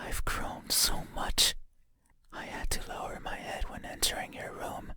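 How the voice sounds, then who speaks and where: A raspy, put-on character voice at a moderate pace. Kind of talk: horror game character dialogue, deliberate and unsettling. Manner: slow, soft, haunting.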